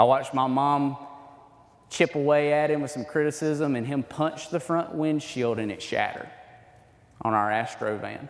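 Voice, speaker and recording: A man with an Alabama accent and a fairly high pitch talks at a moderate pace with ordinary pitch variation. He takes long, frequent pauses, and audible room echo is present. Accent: Southern US (Alabama). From Alabama, US South. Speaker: men's ministry speaker. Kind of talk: sermon-style talk to men's group. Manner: halting.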